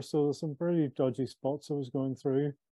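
A man with a Northern Irish accent speaks at a moderate pace, his medium-pitched voice keeping a fairly even intonation. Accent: Northern Irish (Belfast). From Belfast, Northern Ireland. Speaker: author and former sales executive. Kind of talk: casual interview conversation.

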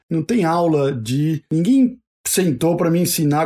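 His pitch high and varying in an ordinary way, a man speaks with a dark, mellow tone. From Brazil, São Paulo. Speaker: university admissions staff, sociologist. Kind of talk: interview. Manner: hesitant, repeats words.

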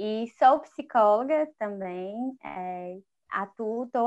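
The speaker is a woman with fairly high pitch. Her pitch varies in an ordinary way. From Ceará interior, Baturité. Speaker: psychologist. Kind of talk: casual chat.

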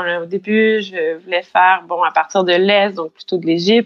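The recording of this woman is dry and close, without any echo. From Quebec, Saint-Hyacinthe (Montérégie). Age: young. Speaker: cycling traveler. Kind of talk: casual interview. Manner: hesitant, many fillers.

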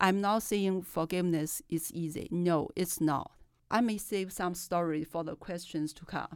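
A woman's fairly low, fairly even voice with a Chinese accent at a fairly slow pace, on a very clean recording with a silent background. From China. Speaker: professor and journal editor. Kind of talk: casual interview chat.

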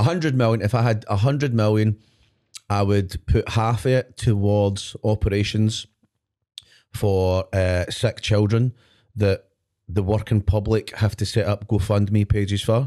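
A man with a Scottish accent speaks fairly slowly in a fairly low pitch and a dark, mellow tone, with fairly even intonation and very even loudness. The recording is very clean, dry and close, with no echo and a silent background. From Scotland. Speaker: podcast host. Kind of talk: casual banter chat. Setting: studio. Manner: rambling, interrupting, jokey.

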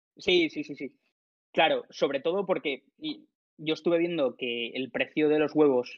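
Pitch varies in an ordinary way as this voice proceeds at a fairly slow pace. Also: man. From Alicante, Spain. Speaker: startup founder. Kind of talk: interview.

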